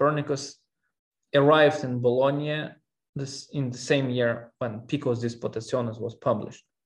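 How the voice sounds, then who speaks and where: A man speaks at a fairly slow pace, somewhat breathy. His intonation stays fairly even. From Russia. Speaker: historian. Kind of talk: interview. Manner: halting.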